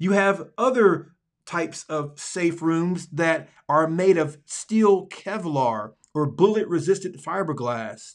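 Speaking very slowly in a Southern US accent, a man uses a high pitch and lively intonation. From Alabama, US Deep South. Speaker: podcast host and pastor. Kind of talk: casual monologue; reading aloud.

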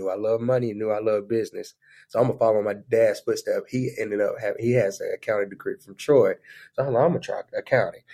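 At a very fast pace, a man talks with a Southern US accent. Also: dry, close sound with no echo. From southeast Alabama (Daleville). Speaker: funeral business entrepreneur. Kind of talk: casual chat.

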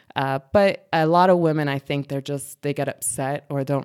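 A woman with an American accent speaks at a very deep, low pitch with fairly even intonation. The recording is very clean and dry, close with no echo, over a silent background. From US East Coast, Reading, Pennsylvania. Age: 30s. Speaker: military veteran and canine handler. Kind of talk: casual interview.

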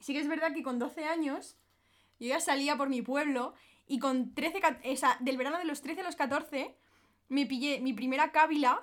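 A woman with a high pitch, a moderate pace and fairly even intonation. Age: 20s. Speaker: influencer. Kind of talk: casual chat.

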